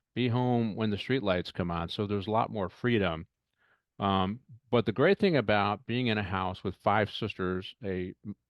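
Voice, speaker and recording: Here a man with an American accent speaks at a moderate pace. His pitch is fairly low, with ordinary pitch variation. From Detroit, Michigan. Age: 60s. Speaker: retired police chief. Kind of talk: podcast interview. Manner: halting.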